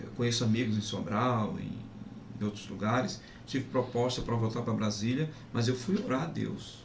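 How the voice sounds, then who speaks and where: Amid noticeable background noise and audible room echo, a man of medium pitch talks at a moderate pace with ordinary pitch variation. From Pernambuco, Brazil (Zona da Mata). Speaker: pastor. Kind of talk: testimony.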